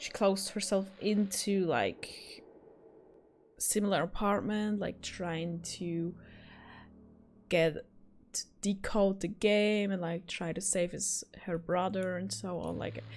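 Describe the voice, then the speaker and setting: A woman with a non-native accent, medium pitch and fairly even intonation, at a very slow pace with long, frequent pauses. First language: not English. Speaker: gaming YouTuber. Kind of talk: game review wrap-up. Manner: hesitant, many fillers.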